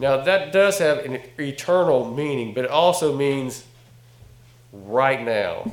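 A man with a Southern US accent speaks at a very slow pace with lively intonation over noticeable background noise. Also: fairly high pitch for a man. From North Carolina. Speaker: guest preacher and ministry director. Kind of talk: sermon. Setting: church.

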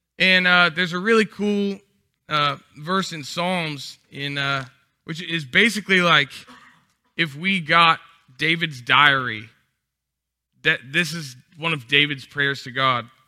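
A man with an American accent speaks fairly slowly with long, frequent pauses, using a fairly high pitch, ordinary pitch variation and a bright, sharp tone. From Texas. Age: 20s. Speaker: guest preacher. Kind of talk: sermon. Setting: stage in a church. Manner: casual, filler-heavy.

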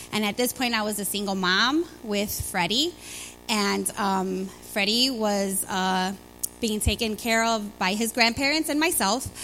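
With music in the background, a woman in a Chicago accent talks at a fairly slow pace, using a medium pitch and ordinary pitch variation. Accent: Chicago American. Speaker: church member sharing testimony. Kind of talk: testimony. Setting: church with congregation.

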